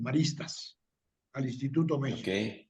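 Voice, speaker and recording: A man speaks with a dark, mellow tone. Room echo is audible. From Mexico City. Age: 60s. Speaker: tech industry veteran. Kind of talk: interview. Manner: fast.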